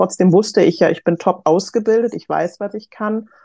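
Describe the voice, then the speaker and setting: A woman speaks with a dark, mellow tone at a moderate pace. Her intonation stays fairly even. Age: 30s. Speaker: HR professional, course participant. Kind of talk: casual interview.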